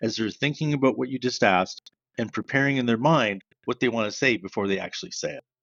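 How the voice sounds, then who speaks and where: Speaking very fast, a man uses a Canadian accent. His pitch is medium with ordinary variation. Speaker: sales trainer. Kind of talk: podcast interview. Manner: loud.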